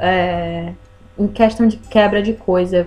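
Ordinary pitch variation and a fairly slow pace from a woman, with noticeable background noise behind her. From Brazil, Ceará (Northeast). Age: 20s. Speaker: podcast guest. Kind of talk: casual chat. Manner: halting.

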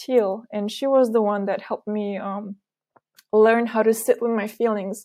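Fairly slow and fairly high-pitched, a woman speaks with fairly even intonation. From Romania. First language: Romanian. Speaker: trauma healing practitioner. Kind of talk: interview. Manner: halting.

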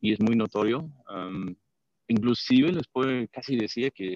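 A man with a fairly low voice, recorded dry and close with no echo. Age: 50s. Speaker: patient. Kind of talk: testimony. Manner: halting.

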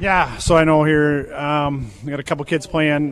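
In an Upper Midwest US accent, a man talks at a fairly high pitch. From southeastern Minnesota, near Lake City. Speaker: insurance agent. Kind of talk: radio interview. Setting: outdoor farm remote broadcast. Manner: halting, repeats words.

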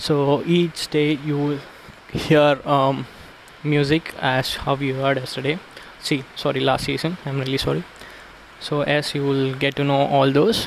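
A man in a Tamil accent, fairly high in pitch, fairly slow and monotone with flat intonation, over noticeable background noise. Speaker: podcast host. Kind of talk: casual personal monologue. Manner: hesitant, many fillers.

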